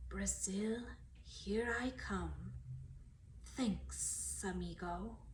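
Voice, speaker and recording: A woman uses a put-on character voice at a very slow pace, with long, frequent pauses. Hissing and clear background noise run through the clip. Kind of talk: casual, friendly.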